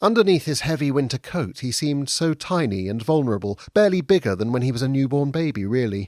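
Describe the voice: Plain reading aloud, lively in intonation.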